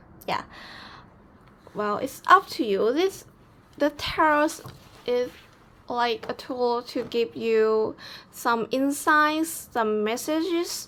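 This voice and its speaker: A woman with a non-native accent talks at a very slow pace, leaving long, frequent pauses. Her pitch is high and her intonation lively. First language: not English. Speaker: tarot reader. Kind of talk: tarot reading to camera. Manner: calm, soothing.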